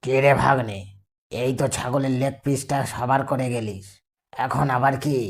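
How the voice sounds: A raspy, cartoonish character voice at a moderate pace, pitched low-to-middle.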